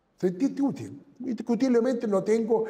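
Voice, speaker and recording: This man has a dark, mellow tone. His pace is moderate. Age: 70s. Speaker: businessman. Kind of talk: interview. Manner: halting.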